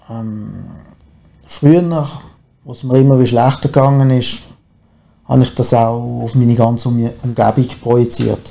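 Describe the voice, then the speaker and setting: The voice has a dark, mellow tone and moves at a fairly slow pace with fairly even intonation. Long, frequent pauses and big swings in loudness run throughout. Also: man, medium pitch for a man. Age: 40s. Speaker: recovering alcoholic. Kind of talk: testimony. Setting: studio.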